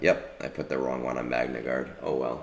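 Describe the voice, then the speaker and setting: A man with a very deep, low pitch at a fairly slow pace, with audible room echo. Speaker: gaming streamer. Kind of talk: casual chat.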